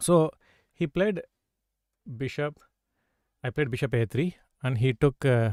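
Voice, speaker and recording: Dry and close with no echo, a man speaks at medium pitch with a dark, mellow tone. He goes at a fairly slow pace with lively intonation. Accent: South Indian. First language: Tamil or Telugu. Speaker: chess grandmaster and coach. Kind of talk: live stream chess lesson. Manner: frequent 'okay' fillers.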